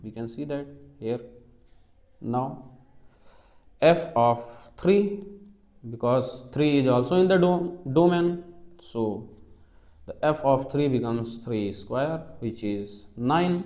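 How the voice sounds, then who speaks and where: A man with an Indian accent and a dark, mellow tone, at a very slow pace with long, frequent pauses, lively intonation, big swings in loudness and audible room echo. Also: medium pitch for a man. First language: Hindi. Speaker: maths teacher. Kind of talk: lecture. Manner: slow and methodical.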